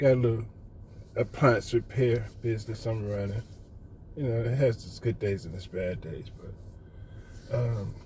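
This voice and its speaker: A man with an American accent, medium pitch and a dark, mellow, somewhat breathy tone, at a moderate pace with fairly even intonation. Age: 60s. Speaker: retired appliance repairman, vlogger. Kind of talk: casual monologue vlog.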